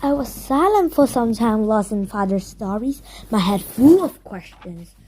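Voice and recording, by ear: A woman speaks at a fairly slow pace with lively intonation and a fairly high pitch. Her tone is dark and mellow, with a slightly husky edge.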